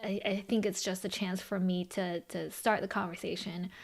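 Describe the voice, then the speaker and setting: A woman talks with a Californian accent. Her pitch is medium and her pace moderate. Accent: American, Californian. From Los Angeles, US (early childhood in China). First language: Chinese. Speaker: podcast co-host and brand founder. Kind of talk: casual podcast conversation.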